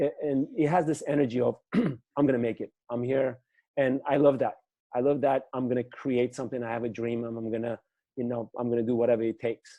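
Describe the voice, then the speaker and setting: A man with a non-native accent and a dark, mellow tone talks at a fairly quick pace with fairly even intonation. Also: medium pitch for a man. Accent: foreign. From former Soviet Union. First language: not English (former USSR). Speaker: business attorney and entrepreneur. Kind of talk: interview conversation.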